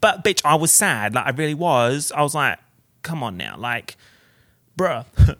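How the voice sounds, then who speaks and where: With a bright, sharp tone and lively intonation, a man talks in an animated way at a moderate pace and fairly high pitch, with vocal fry and long, frequent pauses. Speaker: podcast host and YouTuber. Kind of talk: casual solo podcast chat. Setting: home recording with portable recorder. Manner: animated, chatty, jokey.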